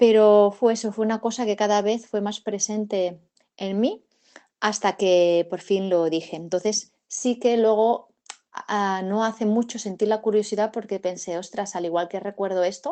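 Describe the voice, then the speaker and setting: A woman speaks at a fairly slow pace, her medium pitch carried on fairly even intonation. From Catalonia, Spain (province of Barcelona). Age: 40s. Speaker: witness recounting UFO sighting. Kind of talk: testimony. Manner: hesitant, many fillers and repetitions.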